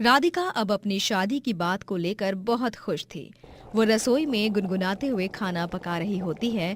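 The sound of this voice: Unforced voice, reading.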